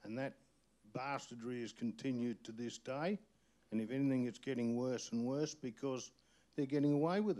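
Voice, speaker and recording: Moderate pace and a dark, mellow tone from a man. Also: medium pitch for a man, ordinary pitch variation. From outback New South Wales. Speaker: community activist. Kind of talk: panel discussion. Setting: stage with audience. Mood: angry, indignant. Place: hall. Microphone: handheld.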